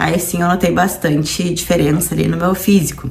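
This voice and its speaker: With audible room echo, a woman speaks at a fairly low pitch with fairly even intonation. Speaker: nutritionist and fitness vlogger. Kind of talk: personal vlog testimony. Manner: casual, conversational.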